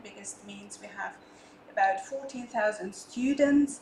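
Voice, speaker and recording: Amid audible room echo and noticeable background noise, a woman speaks in a high pitch with ordinary pitch variation. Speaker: head of a university international office. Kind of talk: conference presentation.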